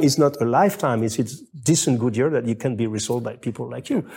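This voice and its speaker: On a very clean recording with a silent background, a man with a French accent speaks in a dark, mellow tone with vocal fry. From France. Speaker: menswear writer and video host. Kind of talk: casual chat. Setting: at the hosts' home. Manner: halting.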